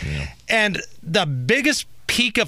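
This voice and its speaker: A man talks at a very slow pace in a fairly high, bright, sharp voice with vocal fry. The recording is very clean, with a silent background. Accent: American. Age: 40s. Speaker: radio host. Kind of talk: casual chat. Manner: animated.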